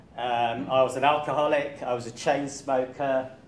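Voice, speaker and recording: Speaking with an English accent at a fairly slow pace, a man keeps a medium pitch and fairly even intonation amid audible room echo. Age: 60s. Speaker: running coach. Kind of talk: talk to club audience. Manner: hesitant, many fillers.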